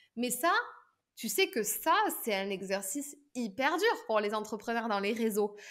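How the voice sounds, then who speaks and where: Lively intonation from a woman at a moderate pace, against a quiet background. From southern France. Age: 30s. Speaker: pitch and public speaking coach; public speaking coach. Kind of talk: podcast interview. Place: home room. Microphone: webcam.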